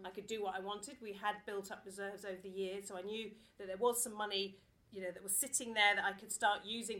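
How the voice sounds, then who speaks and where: Very fast female speech in a southern English accent, bright and sharp in tone. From England (Watford). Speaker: theatre artistic director. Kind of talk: talk to live audience. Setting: stage with audience.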